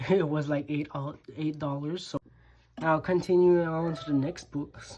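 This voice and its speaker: Fairly even intonation in a French accent. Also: woman. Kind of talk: casual talk to camera.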